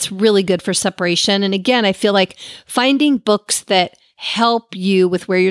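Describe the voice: Simply plain reading aloud.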